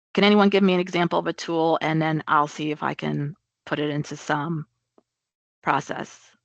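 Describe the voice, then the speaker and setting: At a moderate pace, a woman speaks with a very deep, low pitch and fairly even intonation in a dry, close sound with no echo. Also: quiet background. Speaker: project management trainer. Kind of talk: webinar presentation.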